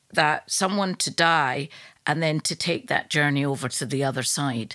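Bright and sharp in tone, a woman with a Glaswegian accent uses lively intonation in a very clean recording with a silent background. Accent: Glaswegian Scottish. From Scotland, Glasgow. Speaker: yoga teacher. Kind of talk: casual chat.

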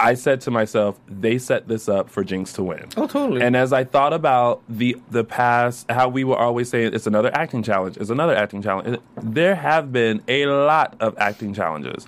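A man's animated, medium-pitched voice at a moderate pace, with ordinary pitch variation. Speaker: after-show host. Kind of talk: casual chat.

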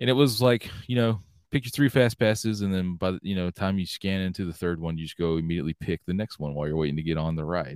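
Talking very fast in a Southern US accent, a man with a very deep, low voice comes through dry and close with no echo, in a very clean recording with a silent background. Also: lively intonation. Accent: Southern US (Georgia). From US South, Georgia. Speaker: loyalty program executive. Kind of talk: casual interview.

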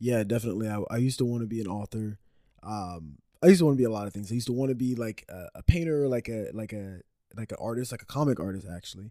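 At a very fast pace, a man with a medium pitch and dark, mellow tone speaks with ordinary pitch variation and big swings in loudness, in a very clean recording with a silent background. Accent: American. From Dallas area, Texas. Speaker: musician. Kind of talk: casual interview.

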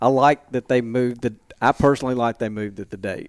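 In an Alabama accent, a man speaks with fairly even intonation in a very clean recording with a silent background. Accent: Southern US (Alabama). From Alabama, Montgomery. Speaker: hunting industry marketing executive. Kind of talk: casual interview chat. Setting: small room at a convention.

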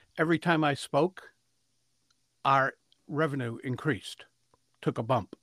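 Speaking at a fairly slow pace, a man with a medium pitch, ordinary pitch variation and a fairly bright tone is heard in a dry, close sound with no echo.

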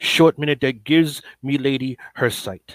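A man with an American accent has an ordinary speaking voice and ordinary pitch variation. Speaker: poet. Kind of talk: poetry reading.

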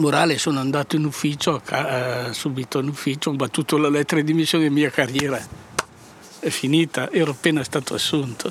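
A man's fairly high-pitched voice runs at a very fast pace, monotone and flat, with very even loudness. Long, frequent pauses break it up over noticeable background noise. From Piedmont, Italy (Varallo, Valsesia). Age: 80s+. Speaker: former partisan courier, winemaker. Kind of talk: testimony. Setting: outdoors in a vineyard. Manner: halting.

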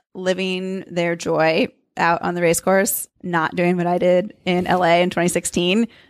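A plain, everyday voice from a woman at medium pitch and a fairly slow pace, on a very clean recording with a silent background. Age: 30s. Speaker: professional runner. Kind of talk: casual interview. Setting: in person, Cambridge, Massachusetts.

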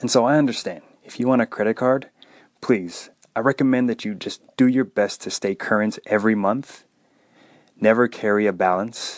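With a dry, close sound and no echo, a man speaks in an ordinary speaking voice at a moderate pace and medium pitch, with ordinary pitch variation. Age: 30s. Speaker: personal finance podcast host. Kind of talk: solo podcast monologue.

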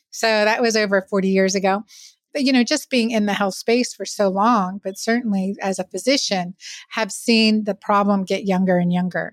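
A woman's unremarkable speaking voice at medium pitch, with fairly even intonation and a moderate pace, dry and close with no echo. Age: 50s. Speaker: physician. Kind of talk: interview.

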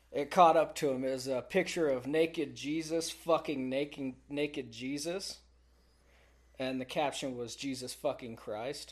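A man with an American accent talks at a fairly slow pace in a normal speaking voice. His pitch is fairly high, his intonation fairly even, and the background is quiet. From Texas. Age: 20s. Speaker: oilfield worker. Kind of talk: casual chat.

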